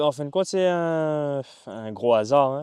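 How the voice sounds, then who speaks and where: Dry and close with no echo, a man's dark, mellow voice moves at a fairly slow pace with ordinary pitch variation. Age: 30s. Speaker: kickboxing and Muay Thai fighter. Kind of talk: interview. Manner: hesitant, many fillers.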